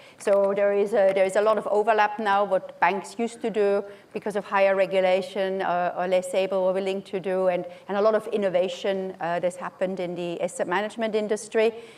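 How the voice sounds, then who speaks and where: Noticeable background noise sits behind a woman's medium-pitched voice. She talks at a fairly quick pace with monotone, flat intonation. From Austria. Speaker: asset manager, conference panelist. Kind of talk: conference panel talk. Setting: conference stage, seated. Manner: hesitant, many fillers and repetitions.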